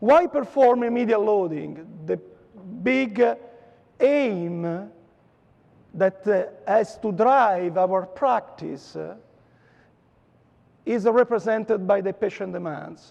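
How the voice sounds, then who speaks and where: A high-pitched man with an Italian accent speaks very slowly, leaving long, frequent pauses. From Italy (Rome). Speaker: dentist lecturer. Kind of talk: lecture. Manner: hesitant with many fillers.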